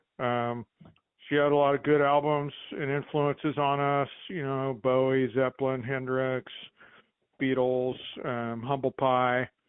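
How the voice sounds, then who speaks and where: With an American accent, a man speaks at a medium pitch in a monotone, flat intonation. He goes fairly slowly, with long, frequent pauses. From Long Beach, California; teen years in New Mexico. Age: 60s. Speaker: bass player, musician. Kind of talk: casual interview chat.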